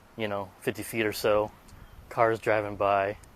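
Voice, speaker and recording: A man speaks in a fairly low pitch with monotone, flat intonation. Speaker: tech reviewer. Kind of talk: product review vlog. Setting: outdoors. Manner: normal conversational volume; halting, many fillers.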